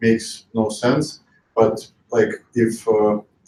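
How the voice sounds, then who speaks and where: Medium in pitch, a man talks with fairly even intonation. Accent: Russian. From Russia. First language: Russian. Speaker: investor. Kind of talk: panel discussion. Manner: halting.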